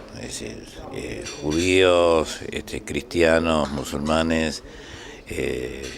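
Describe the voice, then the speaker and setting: The voice carries audible room echo along with noticeable background noise. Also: man. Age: 80s+. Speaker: trade union leader. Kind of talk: interview. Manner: halting.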